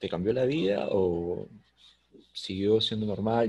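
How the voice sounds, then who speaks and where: Speaking at a fairly slow pace, a man has a fairly low pitch. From Peru. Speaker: podcast host. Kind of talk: interview. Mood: relaxed, curious. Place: home room. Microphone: video call.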